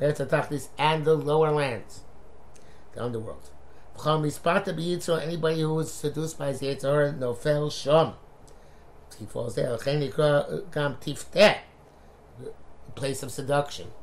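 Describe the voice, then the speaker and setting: A somewhat breathy man, fairly high in pitch, at a moderate pace with fairly even intonation and long, frequent pauses. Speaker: Torah teacher. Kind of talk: lecture.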